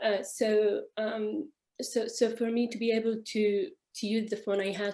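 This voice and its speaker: A woman's voice, dark and mellow in tone, holds a fairly even intonation. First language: not English. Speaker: architect. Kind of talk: panel discussion. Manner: halting.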